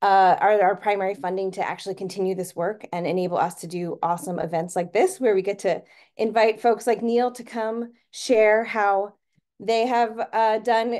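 A woman's moderately paced, fairly even voice against a quiet background. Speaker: webinar host. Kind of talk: webinar introduction. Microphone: video call.

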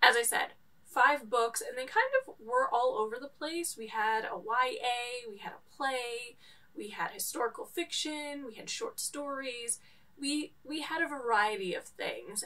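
A woman's raised, projected voice, bright and sharp in tone, with lively intonation, big swings in loudness and a fairly slow pace. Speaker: book vlogger. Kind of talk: casual vlog chat. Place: home room.

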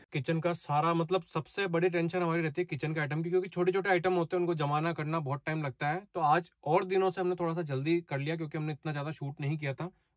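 At a moderate pace and with hardly any pauses, a man talks in a high pitch with fairly even intonation against a quiet background. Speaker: travel vlogger. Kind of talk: casual vlog chat. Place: car. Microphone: phone near.

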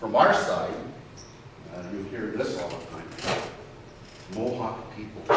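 Through strong room echo and noticeable background noise, a man speaks fairly slowly at a fairly low pitch, his fairly even intonation broken by long, frequent pauses. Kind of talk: conference presentation. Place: meeting room. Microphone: camera far.

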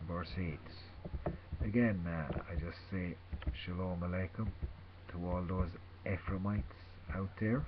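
The speaker's voice is somewhat breathy, with fairly even intonation. The pace is very slow, and noticeable background noise can be heard. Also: man. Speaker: religious vlogger. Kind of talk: informal sermon / scripture reading. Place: home room. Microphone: webcam.

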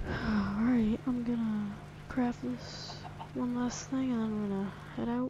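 With audible room echo and noticeable background noise, a woman speaks at a fairly high pitch with lively intonation. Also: fairly slow pace. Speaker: gaming video creator. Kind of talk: casual gameplay commentary.

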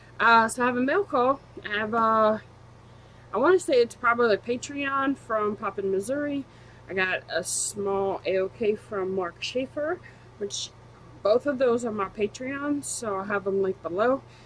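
A woman at a moderate pace with ordinary pitch variation over light background noise. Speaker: collector vlogger. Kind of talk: casual vlog chat. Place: home room. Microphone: webcam.

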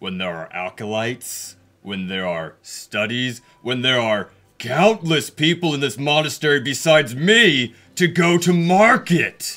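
In a put-on character voice with a grumpy tone, a man lets his pitch swing very widely. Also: fairly high pitch for a man, moderate pace. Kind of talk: formal, terse. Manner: curt, grumpy, indignant.

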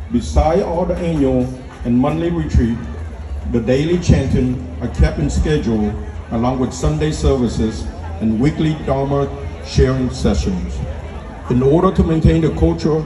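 Through noticeable background noise, a man with a very deep, low voice speaks at a moderate pace, taking long, frequent pauses. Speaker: speaker. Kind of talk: formal speech. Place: tent.

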